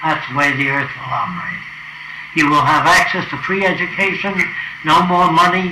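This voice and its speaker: High male voice, fairly even in intonation, against noticeable background noise. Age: 80s+. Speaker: futurist. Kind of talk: casual talk to visitors about his ideas.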